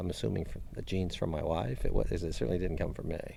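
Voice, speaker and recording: A man talks at a very fast pace, his voice showing vocal fry. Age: 60s. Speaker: professional golfer. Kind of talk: interview answer.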